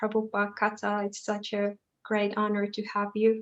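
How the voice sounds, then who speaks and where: A woman talks at a moderate pace in a fairly high pitch. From Finland. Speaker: student of scripture and event organizer. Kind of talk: formal welcome introduction.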